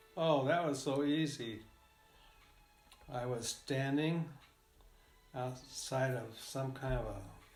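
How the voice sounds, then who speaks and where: With music in the background, a man with an American accent speaks at a very slow pace, at medium pitch and with fairly even intonation, leaving long, frequent pauses. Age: old. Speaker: retired engineer. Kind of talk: interview answer. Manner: hesitant, halting.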